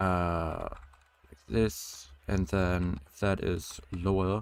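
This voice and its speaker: Music plays in the background as a man mumbles at a very slow pace. His voice is very deep and low-pitched, his intonation fairly even. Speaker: game developer streamer. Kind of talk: live coding stream. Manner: mumbling; halting.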